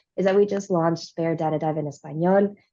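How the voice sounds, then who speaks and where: Speaking at a very fast pace, a woman with a fairly low pitch and a dark, mellow tone keeps her intonation monotone and flat. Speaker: presenter demoing a data website. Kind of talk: pre-recorded software demo presentation.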